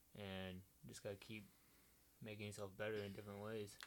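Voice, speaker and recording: Talking at a fairly quick pace, a man keeps to a fairly low pitch. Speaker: college cross country runner. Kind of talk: casual chat.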